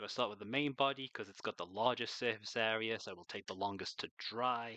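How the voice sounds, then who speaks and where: In a British accent, a man speaks with a fairly low pitch and a bright, sharp tone. His pitch varies in an ordinary way, and the sound is dry and close with no echo. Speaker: miniature painter streamer. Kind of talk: live stream painting tutorial.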